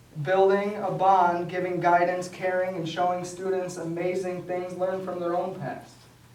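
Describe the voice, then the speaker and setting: A high-pitched male voice at a moderate pace, with noticeable background noise. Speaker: photography business owner. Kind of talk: speech to an audience.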